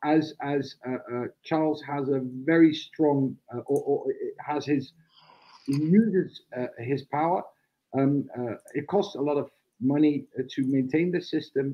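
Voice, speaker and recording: A man with a Dutch accent talks at a very slow pace, leaving long, frequent pauses. His intonation is fairly even, and the background is quiet. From Netherlands. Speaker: republican society spokesman, debate moderator. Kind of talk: live online panel debate. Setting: video call. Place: home room. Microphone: video call.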